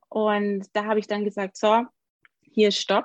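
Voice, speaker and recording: The sound is dry and close with no echo. A woman talks at a very slow speed. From Germany, Augsburg (Bavaria). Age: 30s. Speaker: occupational therapist. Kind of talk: interview.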